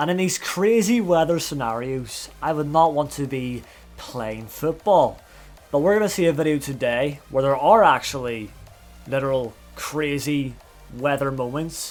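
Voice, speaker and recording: With music in the background, a man speaks at a moderate pace in a British accent, his fairly high voice carrying lively intonation. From Britain. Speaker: YouTube reaction host. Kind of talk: casual reaction commentary.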